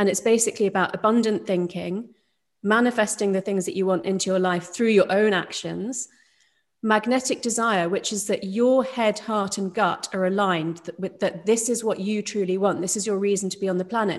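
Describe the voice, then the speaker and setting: A woman's medium-pitched voice with a British accent, fairly even intonation and a fairly quick pace. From UK. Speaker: neuroscientist and doctor. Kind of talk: interview. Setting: video call.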